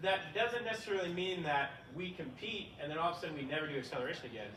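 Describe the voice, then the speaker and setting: Amid noticeable background noise and audible room echo, a man speaks at a fairly high pitch. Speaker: track and field coach. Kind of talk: clinic lecture. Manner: fast; casual, filler words.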